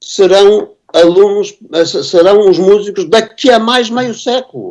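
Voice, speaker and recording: With a high pitch and very wide pitch swings, a man speaks at a very slow pace. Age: 70s. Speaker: composer and music teacher. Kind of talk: conference panel discussion. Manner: halting, many repetitions and fillers.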